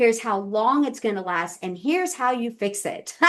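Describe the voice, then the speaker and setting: A woman is speaking. Her intonation is lively. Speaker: astrologer. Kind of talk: interview. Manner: fast; animated.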